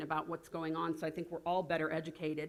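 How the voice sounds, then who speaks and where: There is noticeable noise in the background. A woman does the talking. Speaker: health coalition leader. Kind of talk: conference presentation. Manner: fast.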